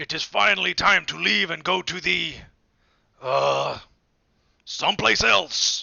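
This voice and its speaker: A man uses a loud, booming, raspy put-on character voice, speaking at a fairly slow pace with long, frequent pauses. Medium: read story.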